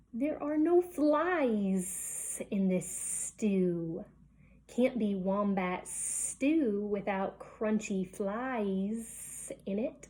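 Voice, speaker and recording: Using a hissing, put-on character voice at medium pitch, a woman speaks at a very slow pace. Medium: read story.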